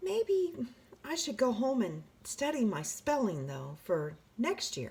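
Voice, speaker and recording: A female-sounding voice puts on a character voice, pitched high and delivered at a fairly slow pace. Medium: read story. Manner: eager, energetic.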